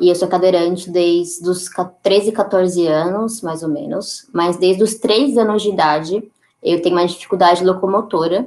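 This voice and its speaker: Here a woman speaks in a plain, everyday voice at medium pitch. Her pace is moderate, and her pitch variation is ordinary. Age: 20s. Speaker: activist and photographer. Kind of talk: interview.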